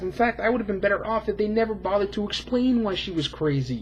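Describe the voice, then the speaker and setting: The speech moves at a very fast pace. Noticeable background noise runs underneath. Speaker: YouTube film reviewer. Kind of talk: casual monologue review. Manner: slurring words.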